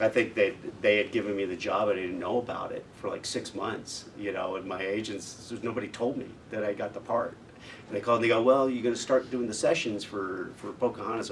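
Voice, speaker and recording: Using an unremarkable speaking voice, a man talks at a medium pitch and a fairly quick pace with fairly even intonation. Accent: American. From United States. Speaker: voice actor. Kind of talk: interview answer. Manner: casual, conversational.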